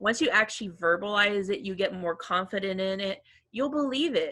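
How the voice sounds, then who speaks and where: Her voice sits at medium pitch with a bright, sharp tone. The woman's intonation is lively. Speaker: career services staff. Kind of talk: casual chat. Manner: fast.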